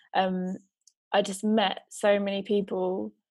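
Her voice sits at a medium pitch, delivered with monotone, flat intonation. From Suffolk, England. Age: 20s. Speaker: creative producer and director. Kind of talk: casual interview. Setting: podcast recording.

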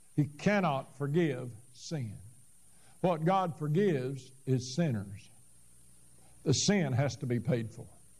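A man speaks very slowly, with long, frequent pauses. His lively intonation comes through a somewhat breathy voice. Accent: American. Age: 70s. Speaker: Baptist pastor. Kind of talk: sermon. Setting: church.

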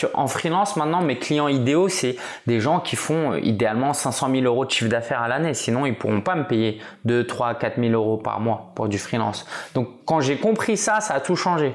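In a normal speaking voice, the speaker keeps a moderate pace and very even loudness while the intonation stays lively. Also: man, medium pitch for a man. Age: 30s. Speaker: entrepreneur and blogger. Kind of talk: casual interview.

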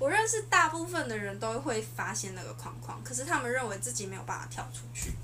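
A woman talks at a fairly quick clip with hardly any pauses, her voice carrying audible room echo over noticeable background noise. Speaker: podcast guest discussing dating and self-confidence. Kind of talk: casual chat.

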